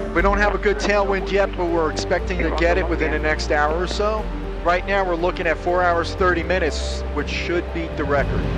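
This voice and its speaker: Speech comes at a fairly quick pace over clear background music, with a dry sound and no echo. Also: man. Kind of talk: commentary. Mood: excited at the end. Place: plane. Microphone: headset.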